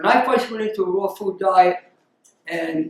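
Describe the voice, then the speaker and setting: Pitched high, a man's voice is heard. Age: 80s+. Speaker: raw vegan doctor, interviewee. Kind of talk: interview answer.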